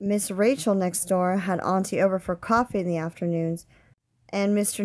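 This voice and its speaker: A woman with an unremarkable speaking voice talks at a moderate pace in a medium pitch, her intonation fairly even, on a very clean recording with a silent background. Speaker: teacher reading a novel aloud. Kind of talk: literary audiobook reading. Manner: measured, storytelling narration with shifts of voice for each character's dialogue.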